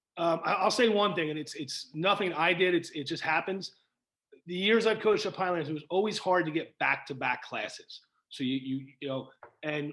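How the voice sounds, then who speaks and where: A man talks at a fairly quick pace in an American accent. His pitch is high. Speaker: high school football coach. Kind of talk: interview. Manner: energetic; halting, repeats words.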